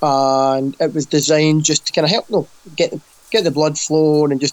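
Fairly quick delivery from a man with a Scottish accent, fairly high pitch and fairly even intonation. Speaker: fitness coach and podcast co-host. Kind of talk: casual chat. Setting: video call.

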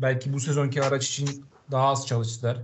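A man talks at a fairly quick pace in a medium-pitched, somewhat breathy voice. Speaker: motorsport podcast host. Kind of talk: casual chat.

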